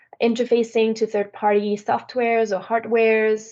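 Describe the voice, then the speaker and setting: In a French accent, a woman speaks at a moderate pace. Her pitch is fairly high. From France. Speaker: software sales manager. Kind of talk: webinar presentation. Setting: online webinar.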